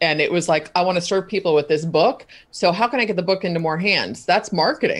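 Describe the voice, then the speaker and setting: The speech comes at a very fast pace with very even loudness and ordinary pitch variation. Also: woman, fairly low pitch for a woman. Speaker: content marketing expert. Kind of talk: interview. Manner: animated.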